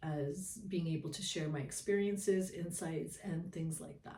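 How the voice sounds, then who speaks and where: A woman speaks at a fairly slow pace, her voice fairly low, somewhat breathy and dark and mellow in tone. Her pitch varies in an ordinary way. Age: 60s. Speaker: spiritual storyteller, shaman. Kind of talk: casual monologue to camera. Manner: hesitant, many fillers.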